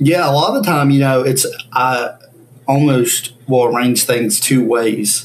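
A man with an American accent speaks at a fairly slow pace, his pitch medium and its variation ordinary. His loudness stays very even, and it is an unremarkable speaking voice. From US South, Ashe County, North Carolina. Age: 20s. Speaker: banjo player. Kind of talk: interview.

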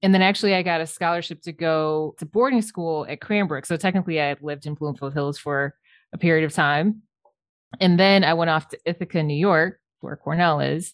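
With an American accent and an unremarkable speaking voice, a woman talks fairly quickly at a fairly low pitch with ordinary pitch variation, the sound dry and close with no echo over a quiet background. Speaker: architect. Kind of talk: interview.

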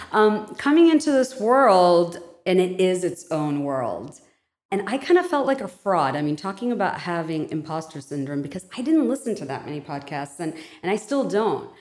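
A woman of medium pitch talks at a moderate pace, her pitch swinging very widely. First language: non-English. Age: 40s. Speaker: podcast host. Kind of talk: casual interview conversation. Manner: animated.

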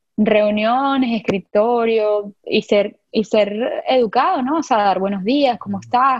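In a Venezuelan accent, a woman speaks fairly slowly and somewhat breathily at a fairly high pitch with ordinary pitch variation. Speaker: product designer. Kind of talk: casual interview.

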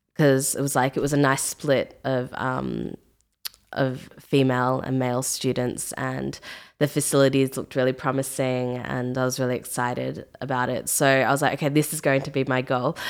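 Her voice very deep and low, a woman with an Australian accent speaks at a moderate pace in a monotone, flat intonation. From Australia, Melbourne. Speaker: music producer and singer. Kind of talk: casual interview.

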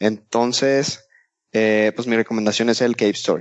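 A man speaks with a Mexican accent. His pace is moderate. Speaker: video game podcast co-host. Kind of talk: casual chat.

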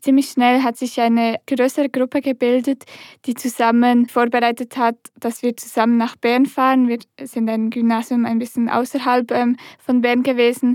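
With a dry, close sound and no echo, a woman speaks at a high pitch and a moderate pace in a monotone, flat intonation. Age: young. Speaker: climate activist and law student. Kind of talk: interview conversation.

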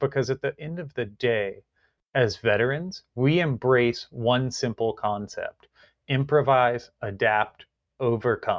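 An unremarkable speaking voice with an American accent moves at a fairly slow pace, with ordinary pitch variation. The sound is dry and close with no echo, against a quiet background. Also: man, medium pitch for a man. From rural Virginia. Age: 30s. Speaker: cannabis industry executive, military veteran. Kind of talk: interview conversation.

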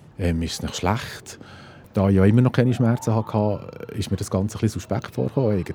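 In a normal speaking voice, a man talks at a fairly low pitch and a fairly quick pace with ordinary pitch variation. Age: 50s. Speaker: geomatics technician, heart attack survivor. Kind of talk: personal testimony. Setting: outdoors.

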